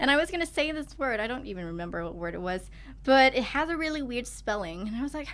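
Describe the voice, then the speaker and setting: Very fast speech in a Thai accent with very wide pitch swings. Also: woman, high pitch for a woman. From Thailand. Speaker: student and singer. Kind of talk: casual chat.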